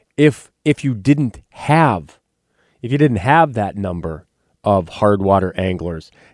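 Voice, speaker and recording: Recorded very cleanly against a silent background, a man with a North Dakota accent swings his pitch very widely and leaves long, frequent pauses. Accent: Upper Midwest (North Dakota). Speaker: radio host and wildlife biologist. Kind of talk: radio talk show.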